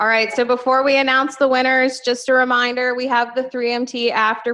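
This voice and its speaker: With an unremarkable speaking voice, a woman talks at a moderate pace with fairly even intonation. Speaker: competition emcee. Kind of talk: event announcements.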